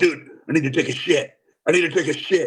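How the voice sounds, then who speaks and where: Using a put-on character voice, a man talks fairly quickly in a gruff, raspy tone at a high pitch. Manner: urgent, blunt.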